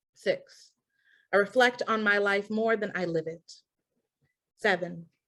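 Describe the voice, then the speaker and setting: In an American accent, a normal speaking voice moves at a fairly slow pace with fairly even intonation. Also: woman, medium pitch for a woman. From Milwaukee, Wisconsin. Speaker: spoken word poet. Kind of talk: poetry reading.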